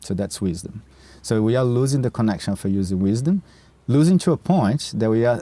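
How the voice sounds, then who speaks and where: A man with a Brazilian Portuguese accent, medium in pitch, dark and mellow in tone, at a fairly quick pace. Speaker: nature mentor and program founder. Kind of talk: podcast interview. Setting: outdoors in a park. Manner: halting, repeats words.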